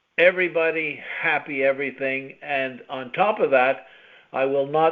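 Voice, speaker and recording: Fairly even intonation and a fairly slow pace mark this plain, everyday voice. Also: man. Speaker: podcast host. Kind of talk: podcast intro to listeners.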